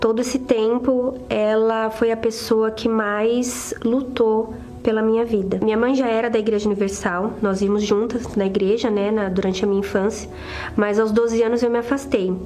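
A woman speaks at a fairly high pitch with monotone, flat intonation and very even loudness, with audible room echo and noticeable background noise. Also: moderate pace. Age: 30s. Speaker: businesswoman giving testimony. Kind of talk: testimony.

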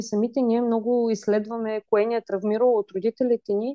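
A woman at a moderate pace with a fairly high pitch and a dark, mellow tone, in a dry, close sound with no echo against a quiet background. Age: 20s. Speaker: parenting blogger, mother. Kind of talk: casual chat.

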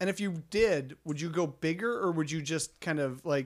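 A normal speaking voice moves at a fairly slow pace with ordinary pitch variation, captured on a very clean recording with a silent background. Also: man. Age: middle-aged. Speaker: photographer podcast co-host. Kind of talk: casual chat.

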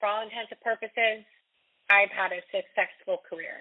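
With a plain, everyday voice, a woman speaks at a fairly high pitch and fairly even intonation. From Raleigh, North Carolina. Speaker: radio host and singer-songwriter. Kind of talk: interview, casual chat.

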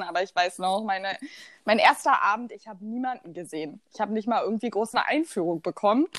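The sound is dry and close with no echo as a woman speaks at a medium pitch with ordinary pitch variation. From eastern Germany, Rheinsberg, Brandenburg. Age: 20s. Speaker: student podcast co-host. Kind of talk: casual chat. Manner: animated.

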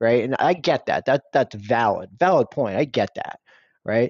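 A man speaks at medium pitch with an American accent and lively intonation. It is a normal speaking voice at a fairly slow pace. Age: 30s. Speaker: parent of two, office worker. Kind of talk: casual chat.

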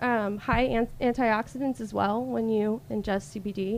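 With an American accent, a woman talks at a fairly slow pace and fairly high pitch with fairly even intonation in an ordinary speaking voice. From US South, Alabama coast. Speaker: cannabis product sales rep. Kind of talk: casual interview.

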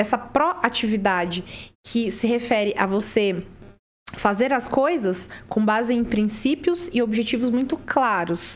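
An ordinary speaking voice moves at a fairly slow pace with lively intonation, on a very clean recording with a silent background. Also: woman. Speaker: career mentor. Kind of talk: podcast interview.

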